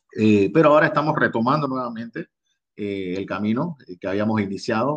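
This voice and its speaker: A man with a Panamanian accent and a fairly low pitch, at a moderate pace, in a dry, close sound with no echo. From Panama, Colón province (Costa Abajo). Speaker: singer-songwriter. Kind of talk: interview. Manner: halting, many repetitions.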